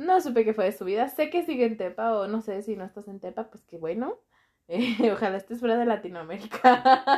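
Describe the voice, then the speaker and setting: Against a quiet background, a woman with an ordinary speaking voice talks fairly quickly at a fairly high pitch, with lively intonation and big swings in loudness. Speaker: doctor, podcast guest. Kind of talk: casual chat.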